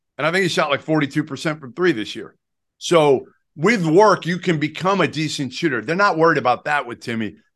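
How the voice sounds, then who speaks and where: An unremarkable speaking voice moves at a fairly quick pace with ordinary pitch variation. Loudness swings widely over a quiet background. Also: man, fairly high pitch for a man. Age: 50s. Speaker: basketball analyst. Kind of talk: casual chat.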